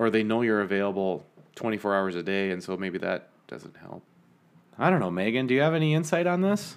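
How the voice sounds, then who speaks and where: With an American accent, a man talks at a fairly quick pace, his pitch swinging very widely. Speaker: podcast co-host. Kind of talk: casual chat. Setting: in a house.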